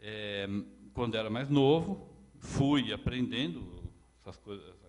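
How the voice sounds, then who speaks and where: The room's echo is clearly audible. Through it, a male voice can be heard. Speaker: lecturer. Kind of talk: lecture. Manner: halting, repeats words; gets louder when excited.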